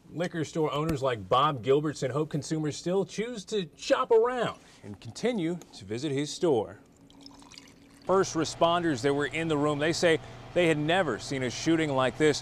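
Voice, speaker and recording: A man with an American accent speaks at a moderate pace in an ordinary speaking voice, his fairly high pitch carried by lively intonation. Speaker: TV news reporter and anchor. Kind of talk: TV news reporting and anchoring. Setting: outdoors, live field reports.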